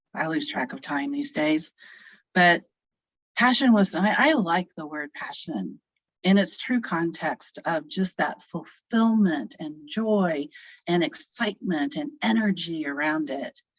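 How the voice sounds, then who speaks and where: A woman with a fairly low voice speaks at a fairly slow pace, her pitch swinging very widely. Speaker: social work educator and panelist. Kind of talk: panel discussion on video conference.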